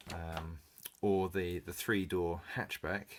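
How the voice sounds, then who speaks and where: With an English accent, a man speaks at a very slow pace in a very deep, low pitch. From England. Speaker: car enthusiast vlogger. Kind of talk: casual review. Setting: spare bedroom at home. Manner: hesitant, many fillers.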